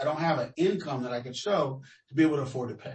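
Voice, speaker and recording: Somewhat brisk male speech, a little breathy. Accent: American. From Los Angeles, US West Coast. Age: 60s. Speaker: interviewee, tenant. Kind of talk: research interview. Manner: halting.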